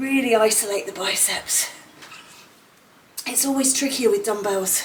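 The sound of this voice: Her delivery comes at a fairly slow pace, with audible room echo. The woman's voice sits at a fairly high pitch. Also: ordinary pitch variation.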